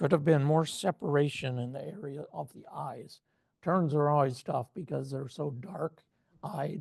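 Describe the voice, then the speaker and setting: Somewhat breathy and fairly high-pitched, a man talks at a fairly slow pace with ordinary pitch variation and big swings in loudness. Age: old. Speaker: photo club judge presenting feedback. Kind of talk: photo critique presentation.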